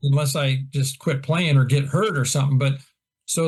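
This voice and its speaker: A man with an American accent, fairly high-pitched and somewhat breathy, at a moderate pace against a quiet background. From Iowa, US Midwest. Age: 60s. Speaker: golf instructor. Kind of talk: casual chat.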